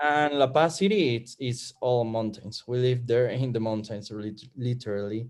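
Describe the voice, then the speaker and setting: Ordinary pitch variation runs through speech delivered in a Spanish accent. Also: man. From Bolivia. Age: 20s. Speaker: student. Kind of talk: casual chat. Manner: halting.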